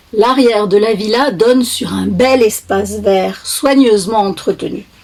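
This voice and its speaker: A woman's fairly high pitch with ordinary pitch variation, amid noticeable background noise. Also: fairly slow pace. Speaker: author reading own book. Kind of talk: children's book reading.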